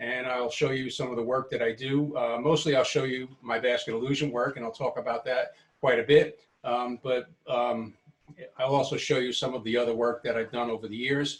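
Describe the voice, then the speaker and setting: A man with a New York accent at a fairly quick pace, medium pitch and monotone, flat intonation. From New York City, Brooklyn. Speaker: woodturner. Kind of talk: workshop tour. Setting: home workshop, video presentation. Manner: hesitant, many fillers.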